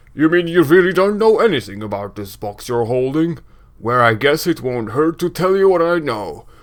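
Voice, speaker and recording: A man puts on a loud character voice at a fairly high pitch. His pitch makes very wide swings. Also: moderate pace. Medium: game stream. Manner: brash, gruff.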